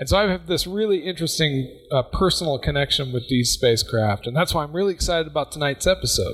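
A man talks at a very fast pace with hardly any pauses, his tone animated and his intonation lively. Noticeable background noise runs underneath. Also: fairly high pitch for a man. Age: 40s. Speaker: science podcast co-host. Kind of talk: casual chat.

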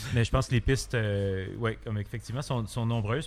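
A man talks with fairly even intonation at a medium pitch. He has an ordinary speaking voice. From Quebec, Montreal. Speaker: comic book artist. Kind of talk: interview. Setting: bar.

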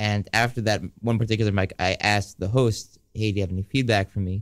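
A man with a normal speaking voice talks at a fairly low pitch with fairly even intonation, on a very clean recording with a silent background. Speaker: radio co-host. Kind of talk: casual chat. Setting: studio.

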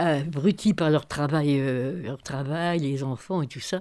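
Speaking very slowly with a dark, mellow tone and ordinary pitch variation, a woman comes through on a very clean recording with a silent background. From northern France, near Cambrai. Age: 90s. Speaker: retired social and family counsellor. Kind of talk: interview, life memories. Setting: retirement home. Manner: halting.

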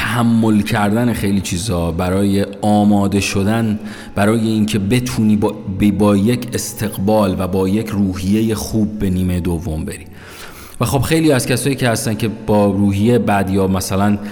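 Speech comes at a moderate pace with fairly even intonation and audible room echo. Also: man, fairly low pitch for a man. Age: 30s. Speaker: podcast host. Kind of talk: solo podcast monologue. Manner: casual conversational.

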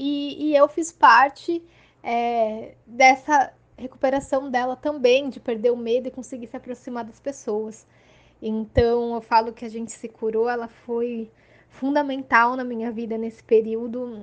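A woman with a high pitch talks at a fairly slow pace, her intonation fairly even while her loudness swings widely. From Santos, São Paulo coast, Brazil. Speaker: podcast listener. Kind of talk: recorded personal testimony.

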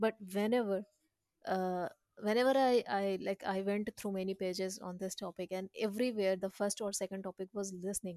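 A woman with an Indian accent speaks at a medium pitch in a dark, mellow tone with fairly even intonation, the sound dry and close with no echo. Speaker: podcast host. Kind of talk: casual group discussion. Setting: online voice call. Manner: fast talker.

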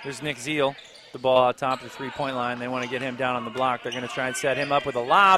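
With noticeable noise behind him, a man talks at a very fast pace. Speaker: play-by-play radio announcer. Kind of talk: live high school basketball play-by-play commentary. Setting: courtside at a gym broadcast. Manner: rapid, running call of each possession with scores; brisk, excited reactions to near-miss shots.

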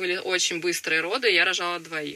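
Noticeable noise runs in the background. The woman talks at a fairly quick pace. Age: young. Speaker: young mother of three. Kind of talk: interview.

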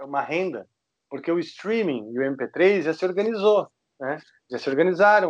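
A man's plain, everyday voice, with lively intonation at a fairly slow pace. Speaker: heavy metal guitarist. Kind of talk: casual interview.

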